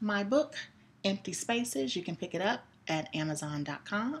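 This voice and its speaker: A woman at a medium pitch and moderate pace, very wide pitch swings, noticeable background noise. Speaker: poet and author. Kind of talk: casual talk to camera, thanking viewers.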